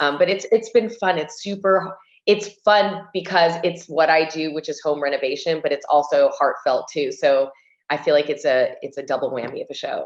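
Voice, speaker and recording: With an ordinary speaking voice, a woman talks at a moderate pace and a fairly low pitch, with ordinary pitch variation. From US, Cuban family. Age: 40s. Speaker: interior designer and TV host. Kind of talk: casual chat.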